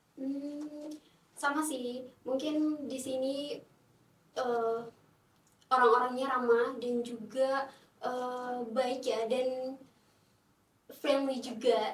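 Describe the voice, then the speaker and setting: A woman's high-pitched, very slow voice with a non-native accent, flat monotone intonation, and audible room echo. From Timor-Leste. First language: not Indonesian (speaking Indonesian). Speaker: international student. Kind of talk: podcast interview. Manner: hesitant, many fillers.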